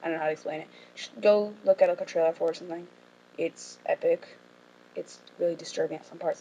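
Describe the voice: In a hoarse put-on character voice, a woman races along very fast with big swings in loudness.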